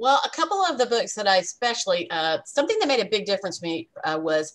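At a fairly quick pace, a woman speaks with very wide pitch swings. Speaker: relationship coach and sales leader. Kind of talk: interview. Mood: warm, upbeat. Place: home room. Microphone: webcam.

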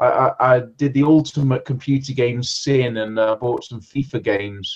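Against a quiet background, a man's voice comes through somewhat breathy. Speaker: online reseller. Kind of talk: casual conversation. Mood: rueful, amused. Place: home room. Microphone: webcam.

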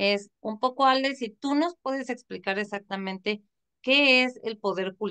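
Her voice has a bright, sharp tone and a fairly high pitch. This woman uses ordinary pitch variation. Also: quiet background. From Mexico. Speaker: online show host. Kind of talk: interview. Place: home room. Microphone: video call.

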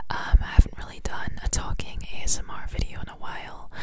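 At a moderate pace, a woman whispers. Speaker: ASMR creator. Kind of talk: ASMR whisper ramble. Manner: whispered, casual, chatty. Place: home room. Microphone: studio mic.

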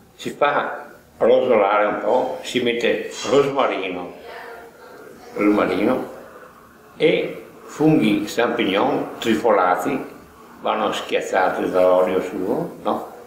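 Speech comes at a very slow pace with long, frequent pauses. Noticeable background noise and audible room echo fill the recording. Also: man. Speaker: home cook. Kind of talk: recipe explanation. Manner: halting.

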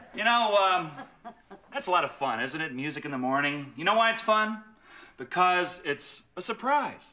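In a raised, projected voice with a bright, sharp tone, the speaker goes at a moderate pace with very wide pitch swings. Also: man. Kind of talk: announcement to students over intercom. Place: office. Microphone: handheld.

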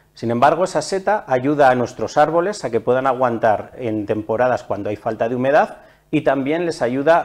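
The background stays quiet while a man talks. His pace is moderate and his pitch varies in an ordinary way. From Almazán, Soria, Spain; Soria, Spain. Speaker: forestry association manager. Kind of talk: TV interview. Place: studio. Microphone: lapel.

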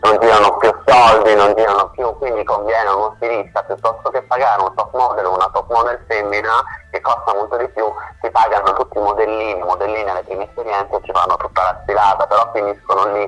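A man speaks fast with few pauses at a fairly low pitch. His intonation is fairly even and his tone fairly bright.

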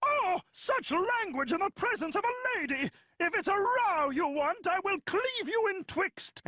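The voice has an extremely high pitch. It moves at a moderate pace. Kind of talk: mock-archaic theatrical speech. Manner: huffy, threatening.

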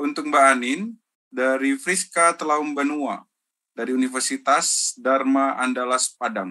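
Over a quiet background, a man with a bright, sharp tone talks at a fairly slow pace with ordinary pitch variation. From Indonesia, Medan; Indonesia. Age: 30s. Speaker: university lecturer and moderator; university lecturer, moderator. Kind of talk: webinar moderation. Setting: video call. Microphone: video call.

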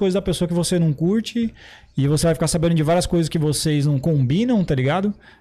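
Talking at a very fast pace, a man has a high pitch and a dark, mellow tone. His pitch moves in an ordinary way. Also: very even loudness. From interior of São Paulo state, Brazil. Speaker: podcast host. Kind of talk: casual chat. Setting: studio. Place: studio. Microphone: studio mic.

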